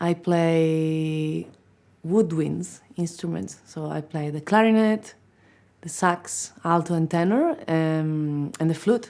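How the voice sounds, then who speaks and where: On a very clean recording with a silent background, a woman with an Italian accent speaks at a very slow pace, her fairly low pitch, dark, mellow tone and fairly even intonation clearly heard. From Italy. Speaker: musician. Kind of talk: interview.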